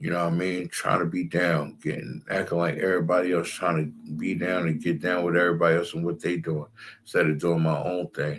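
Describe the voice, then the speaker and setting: The man speaks at a fairly quick pace. Very clean audio leaves the background silent. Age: 40s. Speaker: Hebrew Israelite priest. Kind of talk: religious class talk. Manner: animated.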